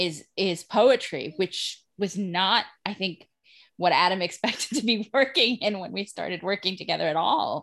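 Against a quiet background, a woman with a normal speaking voice talks at a moderate pace in a medium pitch with ordinary pitch variation. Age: 40s. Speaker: writer and social worker. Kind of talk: casual interview chat.

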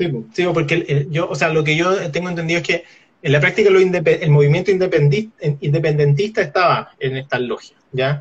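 A man's high-pitched voice with a Chilean accent, moderate pace and ordinary pitch variation. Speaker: podcast co-host. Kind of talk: casual chat. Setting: live stream.

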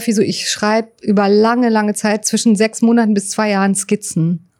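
A woman keeps a moderate pace and fairly even intonation as she talks. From Berlin, Germany. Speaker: writer and psycho-oncologist. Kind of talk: interview. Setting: inside a parked railway wagon at a memorial site. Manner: halting, many fillers.

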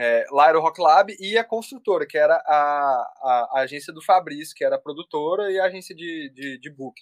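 An ordinary speaking voice, a man's fairly high one, moves at a moderate pace with hardly any pauses, ordinary pitch variation and big swings in loudness. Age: 20s. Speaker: music producer and audio engineer. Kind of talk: casual chat.

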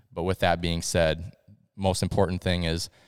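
Recorded very cleanly against a silent background, a man with an American accent speaks at a moderate pace in a very deep, low pitch. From Iowa. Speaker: police officer. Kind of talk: casual chat.

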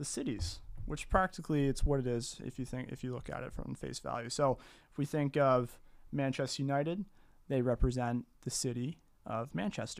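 A man speaks at a medium pitch with a Canadian Maritime accent. His pitch varies in an ordinary way. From Maritime Canada, New Brunswick. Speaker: soccer podcast co-host. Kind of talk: casual chat.

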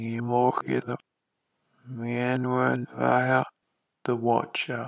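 Using a put-on character voice of medium pitch, a man speaks at a very slow pace with long, frequent pauses. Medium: audio drama. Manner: broken, otherworldly speech.

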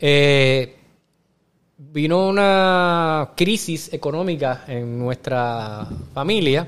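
A man speaks at a fairly high pitch with ordinary pitch variation. He goes very slowly. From Puerto Rico. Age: 40s. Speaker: actor and restaurant owner. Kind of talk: casual interview chat.

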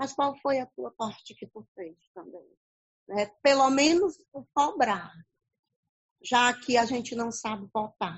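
A woman with a high pitch and lively intonation speaks at a very slow pace, with big swings in loudness and long, frequent pauses. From Paracuru, Ceará, Brazil. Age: 50s. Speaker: schoolteacher. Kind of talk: casual chat.

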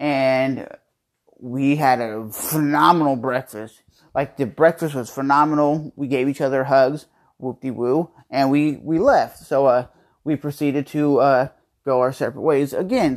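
This man's voice sits at a fairly high pitch, with ordinary pitch variation and a fairly slow pace. The recording is very clean, with a silent background. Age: 30s. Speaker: podcast host. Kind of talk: casual chat. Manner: laid-back.

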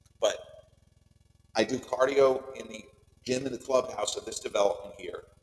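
Speaking at a moderate pace, a man talks in an American accent. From US Northeast, Long Island, New York. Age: 40s. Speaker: podcaster. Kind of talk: personal monologue. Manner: animated.

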